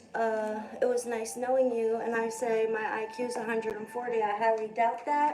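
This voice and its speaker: Audible room echo surrounds a woman whose pitch is high. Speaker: live streamer. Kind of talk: casual live stream monologue. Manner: rambling with many fillers.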